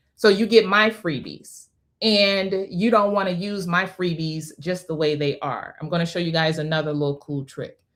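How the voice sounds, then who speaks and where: Using an ordinary speaking voice, a woman talks at a moderate pace with a fairly low pitch and ordinary pitch variation. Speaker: online business teacher. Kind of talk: live class tutorial.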